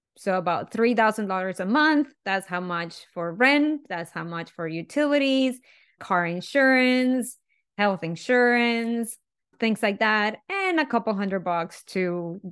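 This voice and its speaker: In a Spanish accent, a woman with a fairly high pitch and lively intonation speaks at a fairly slow pace on a very clean recording with a silent background. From Venezuela. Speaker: chemical engineer and speaker. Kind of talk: interview conversation.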